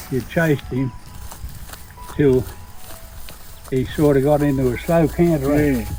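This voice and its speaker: With music in the background, a man talks at a fairly slow pace with long, frequent pauses. His pitch is fairly high, and his intonation is fairly even. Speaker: former stockman. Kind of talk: interview answer.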